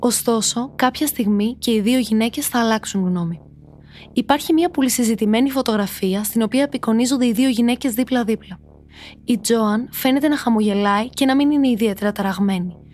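Speaking in a normal speaking voice, a woman keeps a moderate pace, a fairly high pitch, ordinary pitch variation, and very even loudness. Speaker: true crime podcast narrator. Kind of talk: true-crime narration, scripted, read from a prepared text. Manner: steady, serious storytelling, measured and suspenseful.

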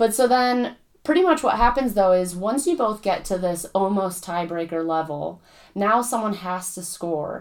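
A woman with an unremarkable speaking voice talks at a moderate pace and medium pitch, her intonation lively. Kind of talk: casual chat.

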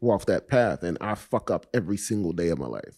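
A fairly low, dark and mellow male voice with vocal fry and lively intonation, at a moderate pace, in a very clean, dry, close recording with a silent background and no echo. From Miami, Florida (Coconut Grove). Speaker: actor. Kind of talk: casual interview conversation.

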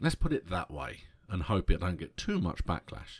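On a very clean recording with a silent background, a man speaks with a British accent. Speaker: podcast host. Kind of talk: solo podcast monologue about concert memories. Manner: slows down to control stammer; excitable, tends to trip over words.

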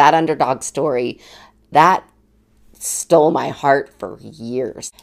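A woman speaks in an animated tone with vocal fry and ordinary pitch variation. The recording is very clean, with a silent background. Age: 40s. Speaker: podcast host. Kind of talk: solo monologue.

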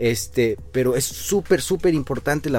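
A man is talking. Behind his voice, music can be heard. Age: 30s. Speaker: structural engineer and podcast host. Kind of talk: casual interview chat.

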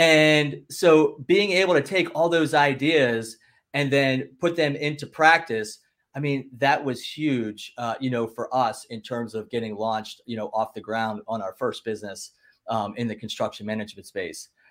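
A man with a plain, everyday voice and an American accent, fairly high in pitch, with lively intonation, big swings in loudness and a moderate pace, in a very clean recording with a silent background. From Philadelphia / South Jersey. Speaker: entrepreneur and podcaster. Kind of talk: casual chat.

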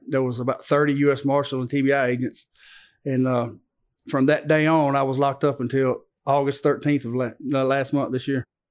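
Someone with a Southern US accent speaks fairly quickly in a flat monotone. The background is quiet. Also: man, fairly high pitch for a man. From Antioch, Nashville, Tennessee. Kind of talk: testimony.

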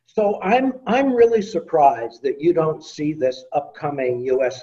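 A man's somewhat breathy voice, dark and mellow in tone, at a moderate pace. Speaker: audience questioner, research center director. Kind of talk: audience question. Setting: video call.

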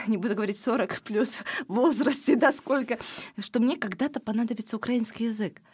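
Talking at a fairly quick pace, a woman has a fairly high pitch and an unremarkable speaking voice. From Ukraine, village, moved to Estonia as child. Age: 40s. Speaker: fashion designer and politician. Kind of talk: interview.

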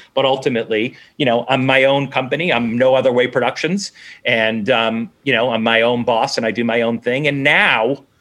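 Speaking with an American accent in a normal speaking voice, a man of medium pitch keeps a moderate pace, fairly even intonation, very even loudness and hardly any pauses. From Boston area, Massachusetts (Newton). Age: 40s. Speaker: TV executive producer. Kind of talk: casual interview.

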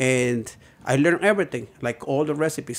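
The speaker has a Spanish accent. The pace is fairly quick. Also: man. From Puebla, Mexico. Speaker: chef. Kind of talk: casual chat. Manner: halting.

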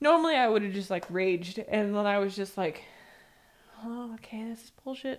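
A woman with an American accent and an unremarkable speaking voice talks at a fairly high pitch and a moderate pace on a very clean recording with a silent background. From San Diego, California. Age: 30s. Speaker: tattoo artist. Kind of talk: casual chat.

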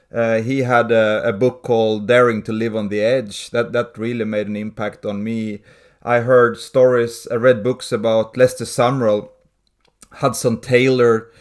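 Monotone, flat intonation at a fairly slow pace. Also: man, medium pitch for a man. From Sweden. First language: Swedish. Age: 40s. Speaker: pastor and church planter. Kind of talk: interview.

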